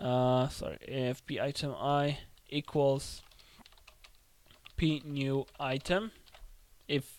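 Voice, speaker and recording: This man's voice is fairly high in pitch, and he speaks with a non-native accent. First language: not English. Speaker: game development tutorial creator. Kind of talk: tutorial. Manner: casual, thinking aloud with fillers.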